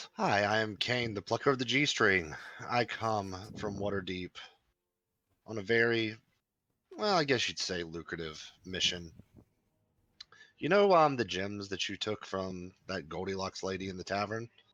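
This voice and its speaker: A man puts on a raspy character voice with a fairly low pitch and ordinary pitch variation. He moves at a moderate pace, leaving long, frequent pauses. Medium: actual play. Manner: charismatic, chatty.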